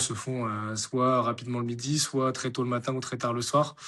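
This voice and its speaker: A man with a medium pitch talks at a moderate pace against noticeable background noise. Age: 20s. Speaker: farmer and amateur triathlete. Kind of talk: interview. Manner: halting, many fillers.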